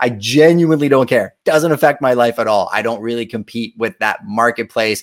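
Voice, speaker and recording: An unremarkable speaking voice from a man, medium in pitch with ordinary pitch variation, at a fairly quick pace in a dry, close sound with no echo. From Montreal, Quebec, Canada. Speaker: realtor and show host. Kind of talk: live-stream reaction commentary. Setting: live stream. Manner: casual, conversational.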